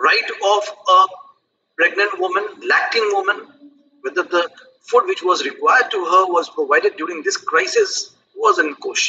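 The speaker keeps a moderate pace with long, frequent pauses, and noticeable background noise runs underneath. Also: man. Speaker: law professor. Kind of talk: panel discussion. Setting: video call. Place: office. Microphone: headset.

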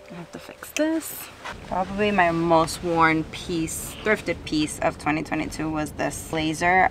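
A woman at a fairly slow pace, dry with no echo, over noticeable background noise. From Dominican Republic. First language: Spanish. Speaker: fashion and thrifting YouTuber. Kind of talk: casual vlog chat. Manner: animated. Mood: relaxed, upbeat. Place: home room.

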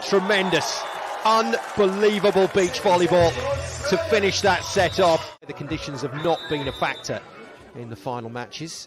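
An animated man at a high pitch and moderate pace, with lively intonation, big swings in loudness and noticeable background noise. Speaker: play-by-play commentator. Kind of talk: live play-by-play sports commentary with exclamations. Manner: animated, bursts of excitement on big plays.

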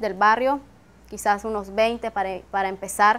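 A woman at a fairly high pitch, fairly even in intonation, speaking at a fairly slow pace. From Nicaragua. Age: 20s. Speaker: university student. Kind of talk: interview testimony. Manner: hesitant, frequent fillers. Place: garden. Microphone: lapel.

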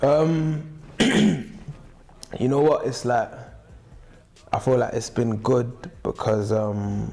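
A man's medium-pitched voice at a very slow pace. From South London, England. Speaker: rapper and singer, independent music artist. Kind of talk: interview answer. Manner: relaxed, casual, conversational. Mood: relaxed, casual. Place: studio.

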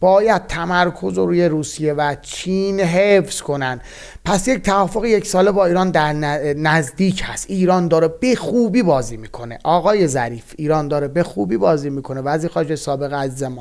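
In a quiet background, a man with a fairly high pitch talks at a fairly quick pace with lively intonation. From Iran, Bostanabad (East Azerbaijan); Iran. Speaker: political analyst. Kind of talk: solo political commentary. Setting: recording while traveling, varying locations. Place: home room.

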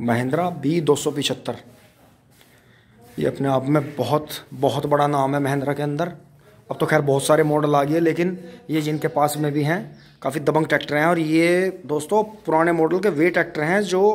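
Long, frequent pauses break up this man's speech. He keeps a moderate pace and fairly even intonation. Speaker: farm vlogger showing a tractor. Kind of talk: casual walkaround commentary. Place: farm machine. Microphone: phone near.

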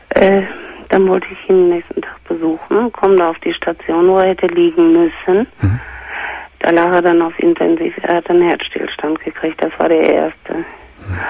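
Noticeable background noise runs behind the recording. A woman speaks at a moderate pace. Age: 60s. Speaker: caller. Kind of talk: testimony.

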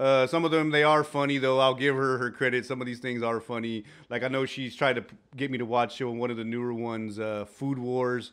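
A man's fairly quick, monotone, flat delivery against a quiet background. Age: 40s. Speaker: co-host and fellow podcaster. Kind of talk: casual chat. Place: studio. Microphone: studio mic.

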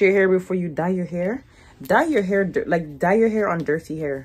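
Her intonation is lively. The woman keeps a moderate pace. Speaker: hair vlogger. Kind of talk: casual tutorial chat. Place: home room. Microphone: phone near.

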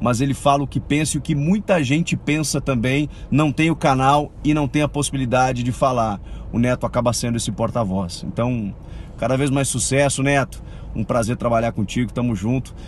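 A man at a moderate pace with ordinary pitch variation, dry sound with no echo and light background noise. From Brazil. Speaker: TV colleague. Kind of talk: recorded video message. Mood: warm, friendly, admiring. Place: car. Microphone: phone near.

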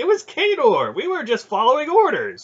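The speaker uses a put-on character voice with a slightly husky edge. The pitch swings very widely at a moderate pace. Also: man, extremely high pitch for a man.

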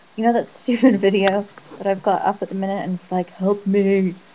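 The speaker mumbles at a fairly quick pace, with fairly even intonation. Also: woman. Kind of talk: casual talk to camera. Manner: mumbled.

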